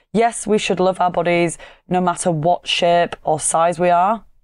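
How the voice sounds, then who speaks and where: A woman speaks with a Yorkshire accent. The background is quiet. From Yorkshire, northern England. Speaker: fitness coach and podcast host. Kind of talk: solo podcast monologue.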